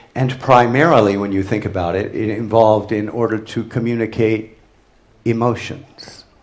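The speech moves at a fairly slow pace. Room echo can be heard. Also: man. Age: old. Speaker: theatre director. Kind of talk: lecture. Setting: stage with audience. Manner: halting.

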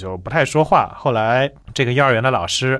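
A man with a medium-pitched voice speaks very fast. His intonation is lively. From China, Changzhou (Jiangsu). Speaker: linguistics researcher and author. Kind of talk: interview.

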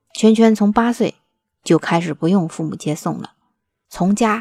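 On a very clean recording with a silent background and a dry, close sound with no echo, a woman speaks at a fairly slow pace in a dark, mellow tone. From Northeast China. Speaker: podcast host. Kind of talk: scripted narration.

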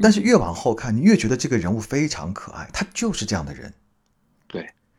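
A man speaks with vocal fry. His pace is fairly quick. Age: middle-aged. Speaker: podcast host. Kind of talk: casual interview.

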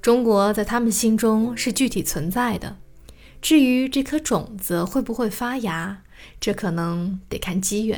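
A woman with a normal speaking voice, fairly high in pitch, at a fairly slow pace with ordinary pitch variation, on a very clean recording with a silent background. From Shanghai, China. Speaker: podcast host and storyteller. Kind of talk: scripted narration.

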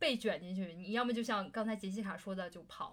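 A woman talks here. Background noise is noticeable throughout. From Beijing, China. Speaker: podcast co-host. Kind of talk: casual chat.

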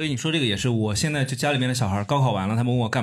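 Ordinary pitch variation shapes this man's medium-pitched speech. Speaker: podcaster. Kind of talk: casual chat. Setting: stage with audience.

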